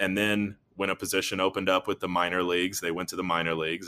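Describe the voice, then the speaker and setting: A man's very deep, low-pitched voice with a bright, sharp tone, fairly quick pace and fairly even intonation, on a very clean recording with a silent background. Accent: American. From North Carolina. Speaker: athletic trainer and physical therapist. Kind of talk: interview. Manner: hesitant, many fillers and restarts.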